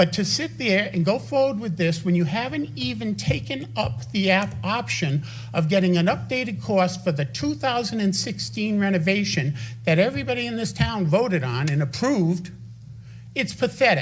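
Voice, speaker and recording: Audible room echo surrounds a man with a high pitch. He speaks at a moderate pace with very wide pitch swings. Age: 70s. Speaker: resident speaking at town council. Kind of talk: public comment at council meeting. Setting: town council meeting. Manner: animated.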